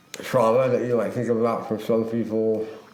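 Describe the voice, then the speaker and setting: Amid noticeable background noise and audible room echo, a man with an American accent speaks at a fairly low pitch and a moderate pace. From Utah. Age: 50s. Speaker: suicide attempt survivor. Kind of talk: testimony. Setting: recording in a model home. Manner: halting.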